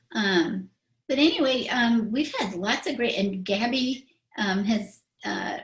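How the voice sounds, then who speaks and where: A woman speaks at a very slow pace, somewhat breathy, with ordinary pitch variation. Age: 60s. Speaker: spiritual talk show host. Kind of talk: casual chat.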